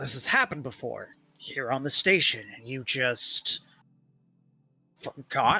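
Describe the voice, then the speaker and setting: A put-on character voice at a fairly slow pace with long, frequent pauses. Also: man, medium pitch for a man. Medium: read story. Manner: gruff, plain-spoken.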